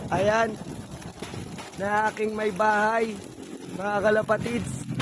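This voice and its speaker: There is noticeable background noise as a man talks at a fairly slow pace. His pitch is high. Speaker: pigeon racing vlogger. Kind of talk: casual live vlog commentary.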